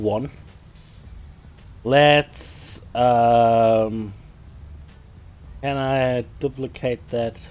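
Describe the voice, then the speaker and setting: Long, frequent pauses break up a man's speech, delivered with fairly even intonation and a slight German accent. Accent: slight German accent, own remark. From Germany. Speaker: game streamer. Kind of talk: live stream tutorial. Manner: halting, many fillers.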